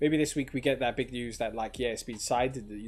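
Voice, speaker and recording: A man talks in a medium pitch with fairly even intonation. Music plays in the background. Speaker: crypto livestreamer. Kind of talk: casual livestream commentary. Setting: livestream. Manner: filler-heavy, casual.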